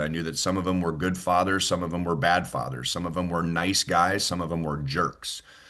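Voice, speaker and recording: With an American accent, a man speaks at a moderate pace in a very deep, low voice. The background is quiet. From US West Coast, Los Angeles. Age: 50s. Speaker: baseball play-by-play announcer. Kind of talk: interview.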